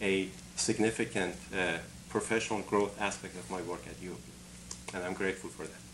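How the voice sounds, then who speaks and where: A man with an Iranian accent, at a fairly quick pace. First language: Farsi. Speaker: engineering academic and conference organizer. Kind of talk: interview.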